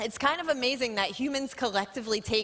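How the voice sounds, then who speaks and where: A woman speaks with ordinary pitch variation. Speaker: scientist. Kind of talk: lecture. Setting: stage with audience. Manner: loud.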